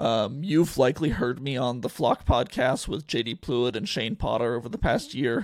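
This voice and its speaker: With an American accent, a man talks at a moderate pace with hardly any pauses. His medium-pitched voice has vocal fry and lively intonation. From Oregon, US (Eugene). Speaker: sports journalist and podcast host. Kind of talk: solo sports podcast. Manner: casual, with many filler words.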